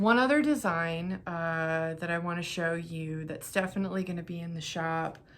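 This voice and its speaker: Speaking at a moderate pace, a woman with a fairly low pitch is heard against audible room echo. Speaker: knitting vlogger and craft seller. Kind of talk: casual vlog talk to camera. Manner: rambling with fillers.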